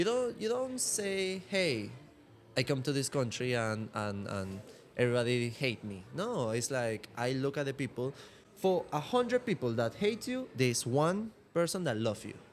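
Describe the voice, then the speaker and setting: At a moderate pace, a man with a Venezuelan accent talks in a medium pitch that moves in very wide swings. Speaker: martial arts instructor and model. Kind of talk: casual podcast chat.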